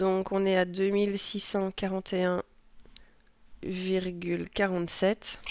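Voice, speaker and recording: A woman's medium-pitched voice, very slow and monotone, with flat intonation and long, frequent pauses. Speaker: budgeting vlogger. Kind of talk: casual vlog monologue. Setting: at home. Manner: hesitant, many fillers.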